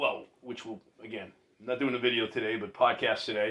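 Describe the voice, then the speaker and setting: Bright, sharp tone from a man at a moderate pace. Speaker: podcast host. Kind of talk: casual chat. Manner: loud; animated.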